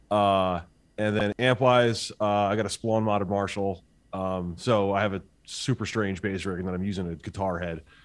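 Fairly even intonation marks this man's speech. He talks in a New Jersey accent. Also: fairly low pitch for a man, moderate pace. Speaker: band musician. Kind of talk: casual interview. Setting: video call.

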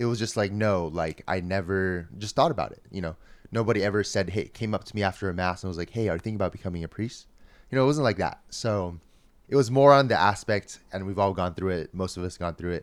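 On a very clean recording with a silent background, a man with a fairly low pitch speaks at a very fast pace with ordinary pitch variation. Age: 20s. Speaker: seminarian. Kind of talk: casual chat.

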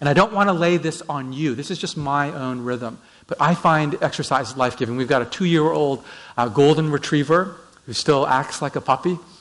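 In an unremarkable speaking voice, a man with a Canadian accent talks at a moderate pace and fairly high pitch, with ordinary pitch variation. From Vancouver, Canada. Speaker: pastor. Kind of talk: sermon. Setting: church.

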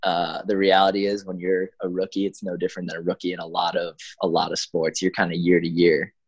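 Speaking at a fairly quick pace, a man with a Chicago accent has a very deep, low pitch. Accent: Chicago American. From US Midwest, Chicago. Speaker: professional soccer player. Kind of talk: casual interview.

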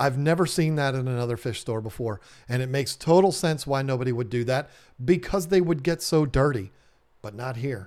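A man with a fairly high pitch and an animated tone speaks at a moderate pace with ordinary pitch variation, in a very clean recording with a silent background. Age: 40s. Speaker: aquarium business owner and podcast host. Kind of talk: casual monologue.

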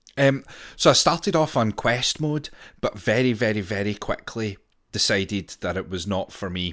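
A man's plain, everyday voice at a medium pitch, with lively intonation and a moderate pace. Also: very clean recording, silent background. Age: 30s. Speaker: video game podcast co-host. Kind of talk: casual chat.

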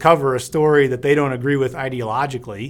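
At a fairly quick pace, a man with a plain, everyday voice speaks at a fairly high pitch with fairly even intonation. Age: 50s. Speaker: podcast host. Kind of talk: scripted outro; casual interview.

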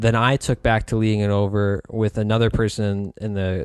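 A man with a normal speaking voice, fairly low in pitch, fairly even in intonation, at a moderate pace against a quiet background. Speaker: podcast host. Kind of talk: casual conversational podcast.

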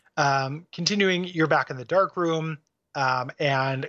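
A man with an American accent, an ordinary speaking voice, fairly high pitch, ordinary pitch variation and a moderate pace. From US Midwest. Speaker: video game podcast co-host. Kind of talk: casual chat.

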